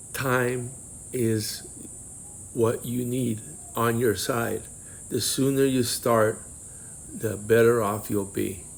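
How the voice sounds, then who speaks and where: With a non-native accent, a man speaks very slowly at a medium pitch, with fairly even intonation and long, frequent pauses. Audible room echo surrounds his voice. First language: not English. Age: 50s. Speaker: early retiree vlogger. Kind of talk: casual vlog advice talk. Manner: halting.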